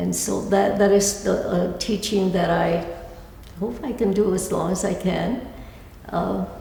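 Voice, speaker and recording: With audible room echo and noticeable background noise, a woman speaks at a fairly slow pace. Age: 80s+. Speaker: altar artist and educator. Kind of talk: lecture. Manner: halting, many restarts.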